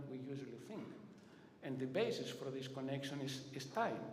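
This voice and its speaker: A non-native accent amid noticeable background noise and audible room echo. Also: man. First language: not English. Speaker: conference presenter. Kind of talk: lecture. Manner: halting.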